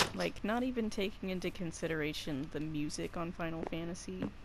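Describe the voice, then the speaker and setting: A woman's fairly low voice with ordinary pitch variation at a moderate pace, amid noticeable background noise and audible room echo. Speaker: gaming YouTuber. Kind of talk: let's play commentary. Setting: at home recording from game console. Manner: casual, conversational.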